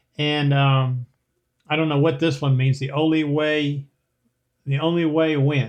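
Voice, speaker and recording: A man with a plain, everyday voice, fairly high pitch, fairly even intonation and a moderate pace. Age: 60s. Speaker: retiree vlogger answering viewer comments. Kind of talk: casual Q&A reading viewer comments. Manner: conversational with frequent fillers.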